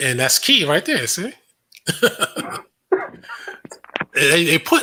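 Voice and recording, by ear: A man speaks slowly in a bright, sharp tone, his fairly high voice swinging widely in pitch.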